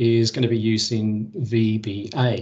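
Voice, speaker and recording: Somewhat breathy, a man with an English accent speaks at a medium pitch. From England. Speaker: Excel presenter; presenter. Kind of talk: technical presentation. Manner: hesitant, many fillers. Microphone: video call.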